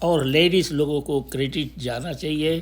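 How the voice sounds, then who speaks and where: Somewhat breathy, this man talks with a fairly high pitch. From India. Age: 80s+. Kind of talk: casual talk to camera.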